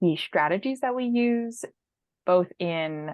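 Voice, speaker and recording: A plain, everyday voice from a woman with a General American accent, fairly low in pitch and at a fairly slow pace. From San Francisco, California. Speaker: education equity policy manager. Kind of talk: interview answer. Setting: video call.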